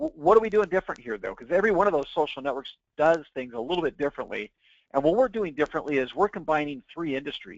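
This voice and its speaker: At a very fast pace, a man speaks with lively intonation and a fairly high pitch. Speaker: webinar presenter. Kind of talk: sales pitch. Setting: webinar.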